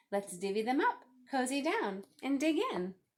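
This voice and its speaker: A woman uses a put-on character voice, high in pitch, at a moderate pace. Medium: read story.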